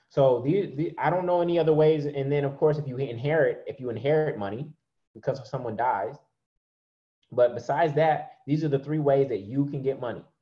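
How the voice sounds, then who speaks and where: Somewhat breathy, a man with a fairly high voice talks at a fairly quick pace with ordinary pitch variation over a quiet background. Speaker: online preacher and money teacher. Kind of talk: sermon mixed with teaching and slides; guided meditation, eyes closed visualization. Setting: video call. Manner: animated, warm, encouraging. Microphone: webcam.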